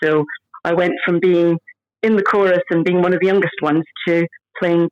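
A woman with a Scottish accent talks at a fairly quick pace and fairly low pitch, with fairly even intonation, very even loudness, and long, frequent pauses in a dry, close sound with no echo. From Scotland. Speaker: stage actress. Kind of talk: casual interview chat.

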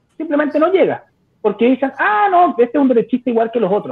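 Speaking very fast, a man with a Chilean accent uses lively intonation. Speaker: YouTuber. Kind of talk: debate.

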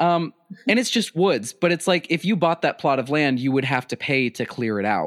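In a normal speaking voice, a man with a fairly high pitch talks at a moderate pace with lively intonation, in a dry, close sound with no echo. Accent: American. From US Midwest (South Dakota). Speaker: podcast host. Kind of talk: storytelling; casual chat.

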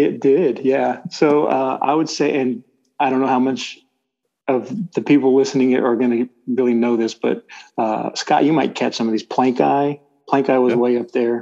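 Dark, mellow man's voice with a Texan accent, fairly even intonation and a moderate pace. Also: medium pitch for a man. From Texas Gulf Coast. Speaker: church elder, oil and gas worker. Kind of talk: casual interview.

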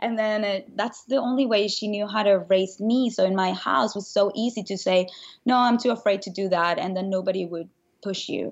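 With a Spanish accent, a woman speaks at a medium pitch and moderate pace with fairly even intonation. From Venezuela. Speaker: motivational speaker and author. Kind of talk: casual interview.

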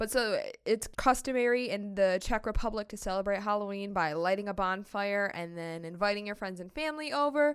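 With a Midwestern American accent, a woman speaks at a medium pitch with ordinary pitch variation, hardly any pauses, and big swings in loudness. The recording is very clean, with a silent background. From United States. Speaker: podcast host. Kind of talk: solo educational podcast.

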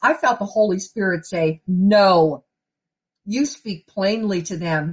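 The voice has some breathiness to it. It belongs to a woman. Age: 50s. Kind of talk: sermon. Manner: conversational.

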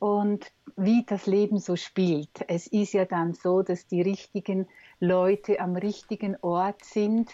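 A woman speaks very slowly at a medium pitch. Her tone is dark and mellow, recorded dry and close with no echo. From Switzerland. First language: Swiss German (speaking German). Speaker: communication trainer and coach. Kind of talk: interview conversation. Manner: hesitant, many fillers.

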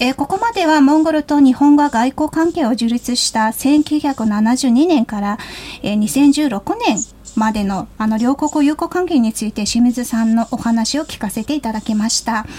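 Against noticeable background noise, a woman with a Mongolian accent speaks at a fairly slow pace in a high pitch, her intonation lively. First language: Mongolian (speaking Japanese). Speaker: radio host. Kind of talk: radio interview. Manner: hesitant, frequent fillers.

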